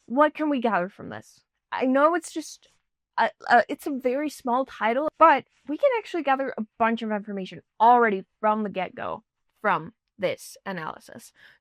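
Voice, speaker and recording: On a very clean recording with a silent background and a dry, close sound with no echo, a woman with a high pitch for a woman speaks at a fairly slow pace with lively intonation. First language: not English. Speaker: YouTuber, music commentator. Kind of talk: lyric analysis video. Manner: casual, chatty.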